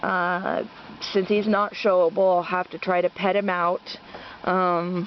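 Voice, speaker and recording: A woman speaks at a fairly slow pace and medium pitch, her intonation monotone and flat. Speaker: rabbit breeder. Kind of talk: casual video update. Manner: hesitant, many fillers.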